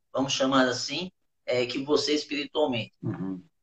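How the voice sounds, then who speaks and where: A man speaks with lively intonation. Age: 50s. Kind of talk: interview about faith and business. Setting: online live stream. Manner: halting.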